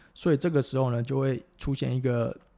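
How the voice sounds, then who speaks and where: On a very clean recording with a silent background, a man with a Taiwanese accent speaks at a moderate pace and medium pitch, with a dark, mellow tone and ordinary pitch variation. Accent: Taiwanese Mandarin. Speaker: physical therapist. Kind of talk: casual interview.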